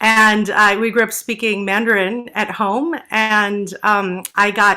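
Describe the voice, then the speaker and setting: A woman's fairly high voice with a New York accent and a bright, sharp tone. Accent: American (New York area). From New Jersey, US. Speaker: stage actress and singer. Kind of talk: interview. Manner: hesitant with fillers.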